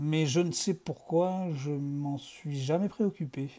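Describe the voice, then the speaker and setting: A somewhat breathy man with a dark, mellow tone, on a very clean recording with a silent background. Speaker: video creator reading fiction aloud. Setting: home video recording in dim, reddish lighting. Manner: casual and relaxed in intro, chatty.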